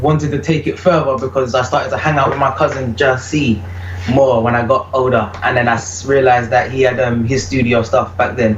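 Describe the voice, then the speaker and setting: A man with a British accent at medium pitch, fairly quick and with ordinary pitch variation, amid noticeable background noise and audible room echo. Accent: British accent comes through in vocals. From UK. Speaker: reggae vocalist. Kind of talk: interview.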